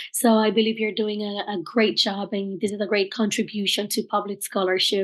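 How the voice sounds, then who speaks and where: Over a quiet background, a woman with a Spanish accent speaks at a fairly high pitch. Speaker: archaeologist and researcher. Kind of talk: lecture. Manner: slow, careful enunciation; hesitant, many fillers.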